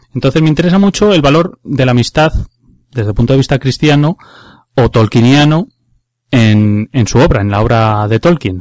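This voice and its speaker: In a dry, close sound with no echo and a silent background on a very clean recording, a man with a plain, everyday voice speaks at a moderate pace with ordinary pitch variation. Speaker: radio host. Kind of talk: radio talk show.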